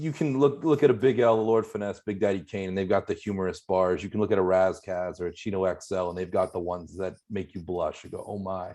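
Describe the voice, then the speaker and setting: With a Pittsburgh accent, the speaker talks at a fairly quick pace in a dark, mellow tone with lively intonation. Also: man. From US, Pittsburgh. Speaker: hip-hop podcast host. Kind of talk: casual chat, album review.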